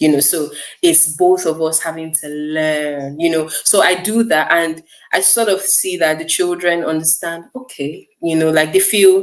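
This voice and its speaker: A woman speaks with a Nigerian accent. Her pitch is fairly low and her pace fairly slow. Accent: Nigerian, unchanged. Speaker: teacher. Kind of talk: interview.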